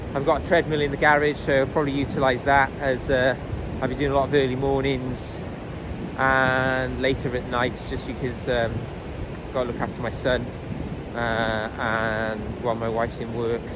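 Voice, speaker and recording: A man keeps a moderate pace with long, frequent pauses against loud background noise, in a dry sound without echo. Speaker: runner vlogger. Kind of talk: casual vlog chat. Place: beach. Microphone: phone near.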